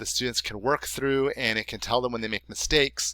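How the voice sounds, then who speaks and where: Bright and sharp in tone, a man with an American accent speaks with fairly even intonation. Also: very clean recording, silent background. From US, North Carolina then California Bay Area. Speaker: high school teacher. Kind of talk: class presentation for parents. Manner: casual, with fillers.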